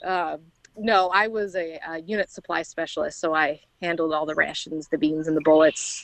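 A woman with an American accent speaks at a moderate pace, her intonation fairly even. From Indiana, near Chicago. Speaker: army veteran and small farm owner. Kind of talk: interview.

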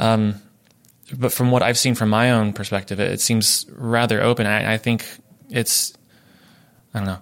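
A man speaks in a monotone with flat intonation, at a medium pitch and with a slight Southern US accent, leaving long, frequent pauses. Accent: Southern US, slight drawl. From Oklahoma, US South. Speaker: music student guest. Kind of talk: casual panel chat.

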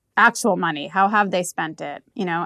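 A woman at a medium pitch with ordinary pitch variation, a fairly quick pace, and a dry, close sound with no echo. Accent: American. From US, New York. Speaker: venture capital investor. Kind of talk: interview. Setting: office in Prague, in person.

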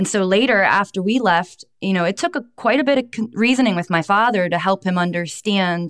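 Against a silent background in a very clean recording, a woman with an ordinary speaking voice talks at medium pitch and a fairly quick pace. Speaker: former cult member and abuse survivor advocate. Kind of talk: interview testimony.

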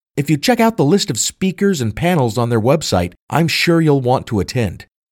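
A man with a fairly high pitch speaks at a moderate pace, his voice swinging very widely in pitch, in a dry, close recording with no echo. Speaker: podcast host and history teacher. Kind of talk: true-crime mystery narration. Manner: formal, scripted and well-enunciated.

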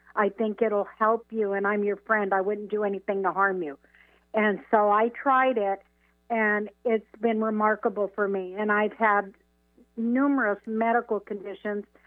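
With an American accent, a woman speaks in a plain, everyday voice at a fairly high pitch, moderate pace and fairly even intonation. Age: 60s. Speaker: caller. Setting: phone call.

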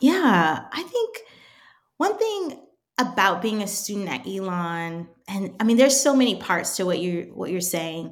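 A normal speaking voice from a woman with an American accent, medium in pitch. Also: lively intonation, fairly slow pace. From Washington DC area. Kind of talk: casual interview chat.

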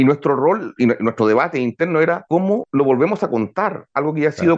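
Lively intonation carries speech delivered very fast. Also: man. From Chile. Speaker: journalist and podcast producer. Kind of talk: interview.

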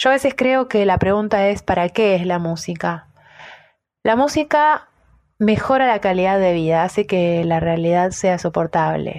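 The background is quiet as a woman speaks at a fairly slow pace. Her pitch sits in the medium range, and her intonation is lively. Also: very even loudness. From Argentina. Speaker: singer-songwriter and music teacher. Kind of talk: prepared self-introduction.

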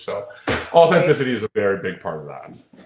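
Talking at a very fast pace in a Canadian accent, a man with a fairly high pitch and a somewhat breathy voice makes very wide pitch swings. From Toronto, Canada. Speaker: social media content creator. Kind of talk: casual chat.

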